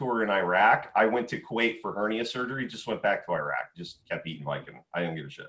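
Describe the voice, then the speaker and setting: Vocal fry runs through this man's speech as his pitch swings very widely. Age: 40s. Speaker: military veteran. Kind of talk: casual chat.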